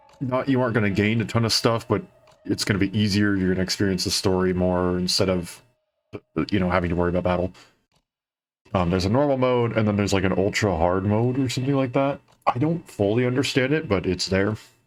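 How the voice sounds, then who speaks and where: Very fast and very even in loudness, a man talks at a fairly low pitch with ordinary pitch variation. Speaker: vtuber streamer. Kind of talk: casual game stream chat. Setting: live stream. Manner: halting, many fillers.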